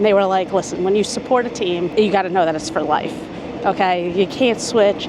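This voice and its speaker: Speaking in a New York accent, a woman sounds animated at a fairly quick pace, with ordinary pitch variation. Noticeable background noise and audible room echo come through. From New York City, Queens. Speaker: travel vlogger. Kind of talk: casual vlog to camera. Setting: outdoors at a stadium before a game.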